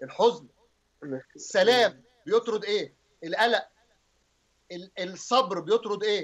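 A high-pitched man with an Egyptian accent speaks at a very slow pace with long, frequent pauses. His pitch variation is ordinary, over a quiet background. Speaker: pastor. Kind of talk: religious teaching on TV.

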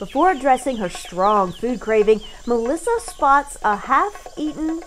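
A woman speaks in an upbeat tone with very wide pitch swings. Noticeable background noise runs underneath. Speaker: voice actor. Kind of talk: radio commercial read. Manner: upbeat, narrative, advertising tone.

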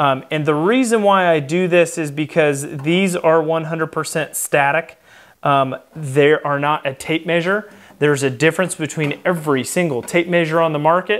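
Against quiet surroundings, the man's pitch shows ordinary variation. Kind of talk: tutorial. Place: workshop.

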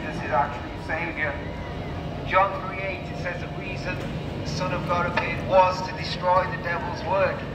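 Speech comes at a moderate pace over loud background noise. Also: man. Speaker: street preacher. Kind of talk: street sermon. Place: street.

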